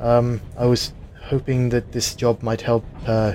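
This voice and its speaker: A man talks fairly slowly at a medium pitch, with noticeable background noise behind him. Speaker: player in a tabletop roleplaying game. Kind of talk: casual tabletop roleplaying game session. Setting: remote online recording.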